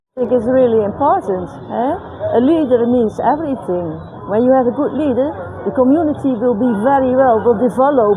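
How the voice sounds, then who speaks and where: A woman's high-pitched voice with lively intonation at a moderate pace, with audible room echo and crowd noise in the background. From Netherlands. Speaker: member of the public interviewed. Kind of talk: street interview.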